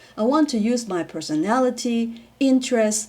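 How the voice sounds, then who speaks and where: This woman has a plain, everyday voice pitched fairly high. She talks at a fairly slow pace with lively intonation. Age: 60s. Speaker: PhD student. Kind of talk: personal reflection talk to camera.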